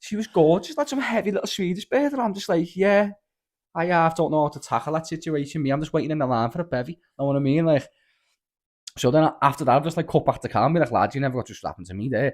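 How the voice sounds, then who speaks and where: A man with a strong Scouse accent, animated in tone and fairly high in pitch, racing at a very fast pace with lively intonation on a very clean recording with a silent background. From Liverpool. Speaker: podcast guest. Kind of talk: casual chat.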